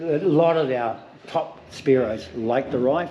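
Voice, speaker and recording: Speaking slowly-ish in a New Zealand accent, a man holds a medium pitch with ordinary variation. Noticeable noise runs in the background. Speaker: spearfishing shop salesperson. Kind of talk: in-store product demonstration.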